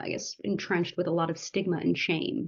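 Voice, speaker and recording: With an American accent, a woman talks at a fairly quick pace in an ordinary speaking voice, pitched fairly low. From United States. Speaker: medical doctor and startup founder. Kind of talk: podcast interview. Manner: conversational, with fillers.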